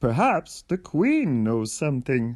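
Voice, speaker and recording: A man at a medium pitch performs a put-on character voice. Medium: read story.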